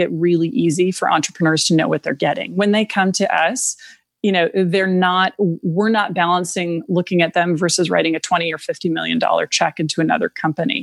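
A woman in an American accent has a normal speaking voice at medium pitch with ordinary pitch variation. The sound is dry and close, with no echo. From rural Minnesota, US Midwest. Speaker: venture capitalist. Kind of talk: interview.

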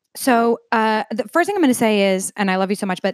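With an American accent and lively intonation, the speaker moves at a fairly quick pace in a dry, close sound with no echo on a very clean recording with a silent background. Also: woman. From Long Island, New York. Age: 30s. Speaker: entertainment sales executive. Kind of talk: casual chat. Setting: home.

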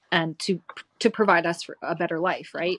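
A woman speaks in a normal speaking voice, fairly low in pitch, at a fairly quick pace with fairly even intonation, and the sound is dry and close with no echo. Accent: Canadian. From rural Alberta, Canada. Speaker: spiritual energy worker. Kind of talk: casual chat.

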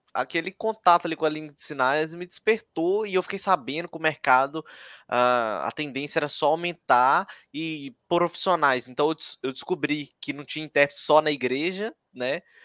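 A man with a bright, sharp tone, ordinary pitch variation and a moderate pace. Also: dry, close sound with no echo. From Minas Gerais, Brazil (Ipatinga, Vale do Aço). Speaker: sign language interpreter and teacher. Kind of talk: casual interview chat.

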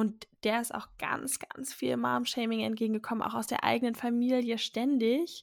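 A woman's fairly high voice at a moderate pace, monotone and flat, with hardly any pauses. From Berlin. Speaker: podcast host, mother. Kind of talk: casual chat.

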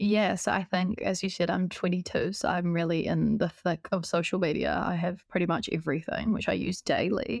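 A woman with a New Zealand accent speaks in a fairly low voice with vocal fry. Her loudness stays very even, and she hardly pauses. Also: ordinary pitch variation, moderate pace. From New Zealand, Christchurch. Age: 20s. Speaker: biomedicine student. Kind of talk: podcast interview.

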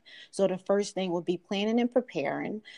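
In a Philadelphia accent, a woman speaks at a medium pitch and moderate pace with ordinary pitch variation, the sound dry and close with no echo over a quiet background. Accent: Philadelphia American English. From US, Philadelphia (South Philly). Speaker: financial advisor. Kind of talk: casual interview.

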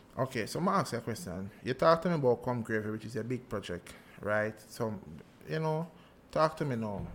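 Speaking with a Jamaican accent, a man with a medium pitch uses lively intonation. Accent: Jamaican Patois. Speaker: podcast host. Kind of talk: casual interview.

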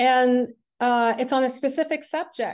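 A woman speaks in a Quebec accent. The background is quiet. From Quebec, Montreal. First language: French. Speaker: athlete and sports coach. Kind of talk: interview. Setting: call.

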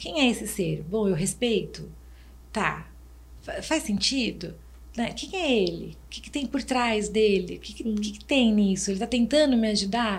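With audible room echo, a woman speaks at a moderate pace, her loudness swinging widely. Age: 50s. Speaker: restaurant and HR manager, consultant. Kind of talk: casual chat.

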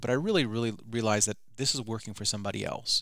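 Someone with a Midwestern American accent talks at a very fast pace on a very clean recording with a silent background. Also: man. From Michigan, Detroit suburbs. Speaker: filmmaker. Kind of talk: interview. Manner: animated.

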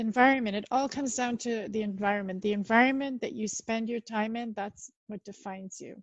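A woman talks at a fairly quick pace with hardly any pauses, in a fairly high, somewhat breathy voice. Her intonation is fairly even while her loudness swings widely, and the sound is dry and close with no echo. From Canada. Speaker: marketing consultant and founder. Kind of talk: casual interview conversation.

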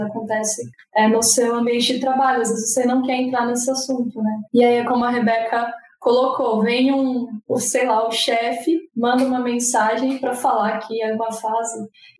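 Amid noticeable background noise and audible room echo, a woman talks at a moderate pace in a high, monotone, flat voice. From São Paulo city, Brazil. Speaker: UX designer. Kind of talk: casual chat.

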